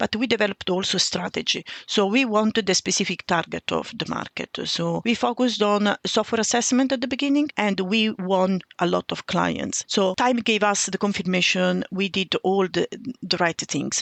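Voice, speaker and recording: A woman's medium-pitched voice in an Italian accent, at a moderate pace with ordinary pitch variation and hardly any pauses. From Italy. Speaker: railway cybersecurity expert. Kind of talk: podcast interview.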